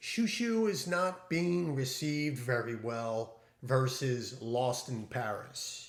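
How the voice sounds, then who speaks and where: Audible room echo carries a man's medium-pitched voice, which moves at a very slow pace with lively intonation. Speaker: fragrance reviewer. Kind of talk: product review.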